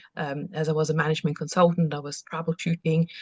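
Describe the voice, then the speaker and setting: A somewhat breathy woman talks at a fairly quick pace in a fairly low, monotone, flat voice, with a dry, close sound and no echo. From Austria. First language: German. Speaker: business coach. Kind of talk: online workshop presentation. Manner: halting, many fillers and restarts.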